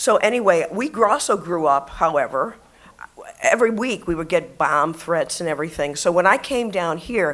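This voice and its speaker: A woman with an American accent speaks in an ordinary speaking voice, fairly low in pitch. Her intonation is lively and her pace moderate. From Buffalo, New York. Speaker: retired media professional and LGBT activist. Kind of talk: personal storytelling speech to live audience.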